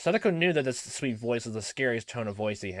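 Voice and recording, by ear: The text is read aloud in a natural voice. The intonation is lively.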